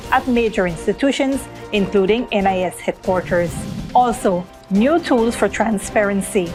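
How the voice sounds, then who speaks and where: Music plays in the background as a woman speaks at a moderate pace. Her pitch is medium and her intonation lively. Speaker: news presenter. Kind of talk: TV news headline read.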